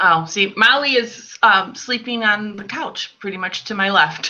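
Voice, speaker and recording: This woman speaks with a Chicago accent. Her pitch is fairly high. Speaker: quilter and quilt designer. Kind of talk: casual interview.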